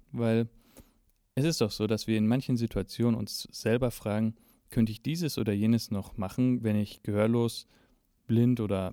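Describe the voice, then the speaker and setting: The tone is dark and mellow, delivered at a moderate pace. The recording is very clean and dry, close with no echo and a silent background. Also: man. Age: 30s. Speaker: podcast host, blind musician and lecturer. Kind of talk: solo podcast introduction.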